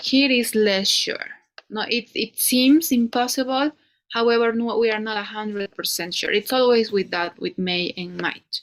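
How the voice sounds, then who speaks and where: A woman's fairly high voice with a Spanish accent, at a moderate pace and with ordinary pitch variation. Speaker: English teacher. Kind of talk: one-on-one English lesson. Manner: halting, many fillers.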